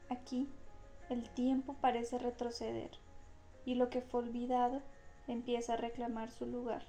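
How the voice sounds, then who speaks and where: A woman's high-pitched, monotone voice, calm in tone and fairly slow, with long, frequent pauses and music in the background. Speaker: audiobook narrator. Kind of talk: channel intro to listeners. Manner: slow, calm.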